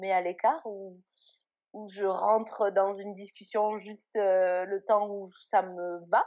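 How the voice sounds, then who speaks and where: The intonation is monotone and flat. A woman delivers it at a medium pitch. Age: 20s. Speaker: blogger on eating disorders. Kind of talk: interview testimony.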